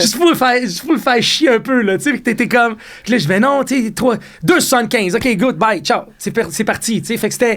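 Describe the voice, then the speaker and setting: Loud and fairly quick, a man talks at an extremely high pitch with ordinary pitch variation. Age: 50s. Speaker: chef and restaurateur. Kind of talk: podcast interview.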